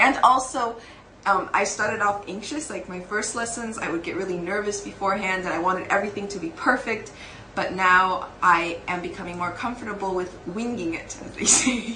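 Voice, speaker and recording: Amid noticeable background noise and audible room echo, a woman speaks with ordinary pitch variation and big swings in loudness. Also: medium pitch for a woman, moderate pace. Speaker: TEFL course trainee. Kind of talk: interview answers.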